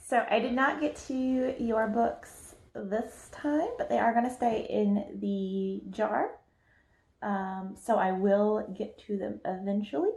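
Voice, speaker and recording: With a Southern US accent, a woman speaks at a very slow pace and a fairly high pitch, somewhat breathy, with ordinary pitch variation. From US South. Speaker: book youtuber. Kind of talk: casual chat.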